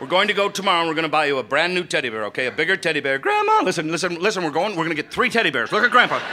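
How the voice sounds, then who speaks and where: Over noticeable background noise, a high-pitched man rattles on at a very fast pace with hardly any pauses, an animated tone and lively intonation. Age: 60s. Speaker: comedian. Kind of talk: stand-up. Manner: animated storytelling.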